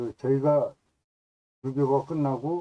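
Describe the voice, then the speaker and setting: Moderately paced, a man's medium-pitched voice has a dark, mellow tone and ordinary pitch variation, with a dry, close sound with no echo. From South Korea, Gyeonggi (Yeoncheon). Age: 70s. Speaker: YouTuber, cultural researcher. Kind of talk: self-introduction monologue. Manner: formal.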